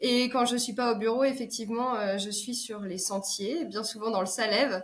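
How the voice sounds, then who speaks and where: A woman's fairly high voice with fairly even intonation at a moderate pace. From France, Alsace. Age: 30s. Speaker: business consultant and ultra-trail runner. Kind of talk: podcast interview. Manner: hesitant, many 'euh' fillers.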